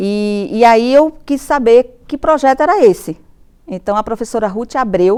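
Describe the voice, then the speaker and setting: Her high voice has a dark, mellow tone, and the woman moves slowly, though not very slowly, with lively intonation. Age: 50s. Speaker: university professor. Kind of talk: interview testimony.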